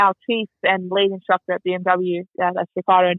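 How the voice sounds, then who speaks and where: A woman speaks with an Australian accent at medium pitch. Her intonation stays monotone and flat. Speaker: motorcycle racer and riding instructor. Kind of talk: podcast interview.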